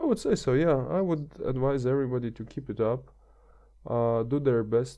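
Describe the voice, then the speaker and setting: A man's medium-pitched, dark, mellow voice with a non-native accent, ordinary pitch variation and a moderate pace over a quiet background. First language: not English. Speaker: podcast guest. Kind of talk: casual chat. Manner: halting, many fillers.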